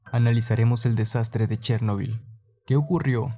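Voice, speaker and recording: Over music in the background, a man talks at a moderate pace with a medium pitch. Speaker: podcast narrator. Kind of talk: podcast history narration.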